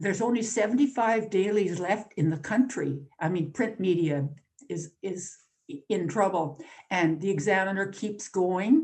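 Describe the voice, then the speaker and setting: A woman with a Canadian accent talks at a moderate pace in a medium pitch. Her voice is somewhat breathy. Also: lively intonation. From Northern Ontario, Canada. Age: 80s+. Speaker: newspaper columnist and activist. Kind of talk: invited talk. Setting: video call.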